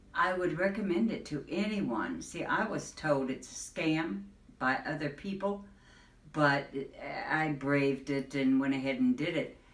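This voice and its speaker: A woman talks at a fairly slow pace in a very deep, low pitch, with very wide pitch swings. Noticeable background noise and audible room echo fill the recording. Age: 70s. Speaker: patient giving testimonial. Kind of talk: testimony.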